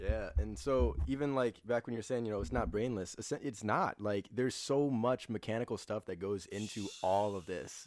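Speaking at a fairly quick pace with ordinary pitch variation, this is a normal speaking voice. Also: man. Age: 20s. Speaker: content creator. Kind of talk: casual chat.

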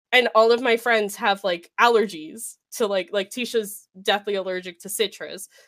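Very clean recording, silent background, with a woman's plain, everyday voice at a medium pitch. She moves at a moderate pace with fairly even intonation and hardly any pauses. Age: 20s. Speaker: streamer. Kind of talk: casual interview chat.

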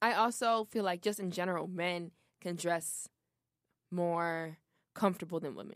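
The speech is broken by long, frequent pauses. The recording is very clean, with a silent background. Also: woman, fairly low pitch for a woman, moderate pace, big swings in loudness. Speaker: college radio co-host. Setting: studio. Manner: animated.

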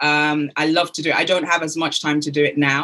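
In a British accent, a woman speaks at a very deep, low pitch with a bright, sharp tone and monotone, flat intonation. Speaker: business development and networking expert. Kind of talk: interview.

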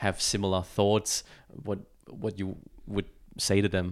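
In a German accent, a man speaks with flat, monotone intonation. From Germany. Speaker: podcast host. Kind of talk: casual interview. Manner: halting, with many fillers.

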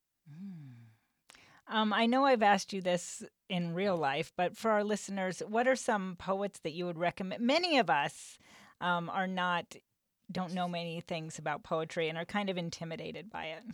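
A plain, everyday voice speaks at a moderate pace. The recording is very clean, with a silent background. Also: woman, medium pitch for a woman, ordinary pitch variation. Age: 40s. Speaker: podcast host. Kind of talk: casual interview chat. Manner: laughs often.

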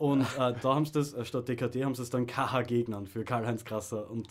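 With an Austrian accent, a man talks at a moderate pace and medium pitch. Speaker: podcast co-host. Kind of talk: casual chat. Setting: radio studio.

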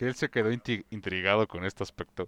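A man with a Mexican accent speaks at medium pitch and a moderate pace against a quiet background. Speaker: podcast co-host. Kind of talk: casual chat.

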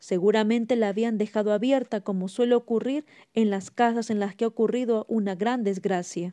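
With fairly even intonation, the passage is read aloud in a natural voice.

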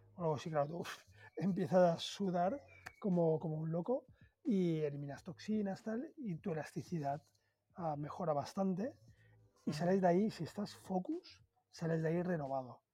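Over music in the background, a man with a high voice speaks at a moderate pace with ordinary pitch variation and long, frequent pauses. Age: 40s. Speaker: food influencer, former banker. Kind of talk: interview conversation.

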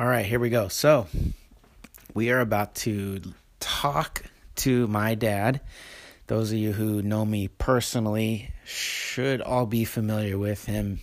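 A man's fairly low voice with an American accent, relaxed in tone, at a very slow pace with fairly even intonation and long, frequent pauses. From Oregon coast, US. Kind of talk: casual monologue and interview. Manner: relaxed, casual.

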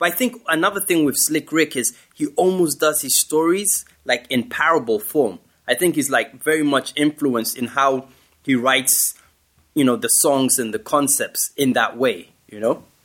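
An ordinary speaking voice, a man talks at a moderate pace with a fairly high pitch and lively intonation. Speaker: rapper. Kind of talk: casual chat.

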